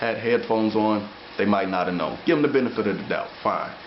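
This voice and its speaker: Over noticeable background noise and audible room echo, a man talks very fast at a medium pitch with ordinary pitch variation. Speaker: amateur bodybuilder. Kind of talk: video diary. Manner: slightly slurred speech.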